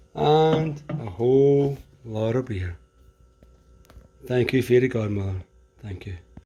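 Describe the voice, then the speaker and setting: In a Scottish accent, a man with a medium-pitched voice speaks very slowly with long, frequent pauses. His intonation is lively and his loudness swings widely. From Scotland. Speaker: vlogger. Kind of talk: vlog narration. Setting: outdoors. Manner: animated.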